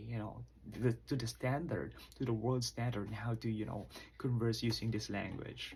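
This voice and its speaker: Here a man's somewhat breathy voice has ordinary pitch variation. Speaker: college instructor. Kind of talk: lecture.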